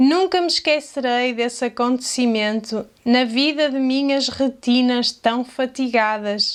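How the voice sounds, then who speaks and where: Speaking in a European Portuguese accent, a woman with a high pitch uses ordinary pitch variation and a fairly slow pace, with hardly any pauses. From Portugal. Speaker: language teacher. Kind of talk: poetry reading.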